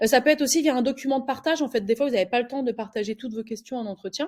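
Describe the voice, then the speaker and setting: A woman speaks with ordinary pitch variation on a very clean recording against a silent background. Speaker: recruiter. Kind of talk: tutorial. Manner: fast; hesitant, many filler words.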